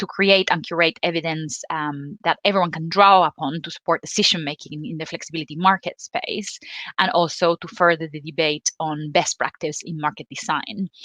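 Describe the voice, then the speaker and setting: Speaking with a Spanish accent at a moderate pace and hardly any pauses, a woman has a bright, sharp tone, a fairly low pitch, fairly even intonation and big swings in loudness, the sound dry and close with no echo. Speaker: energy policy representative, panel moderator. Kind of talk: panel moderation. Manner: hesitant, many fillers.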